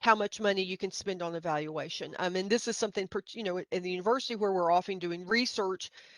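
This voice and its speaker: Dry and close with no echo, a woman with a Middle Tennessee accent speaks with fairly even intonation. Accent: Middle Tennessee, slight hillbilly. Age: middle-aged. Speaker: grant writing trainer. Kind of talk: webinar presentation. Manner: halting, many fillers.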